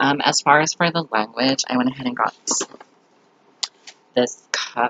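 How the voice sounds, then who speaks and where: A man's voice with vocal fry at a moderate pace, recorded dry and close with no echo. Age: 20s. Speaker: student. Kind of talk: class presentation. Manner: casual with many fillers.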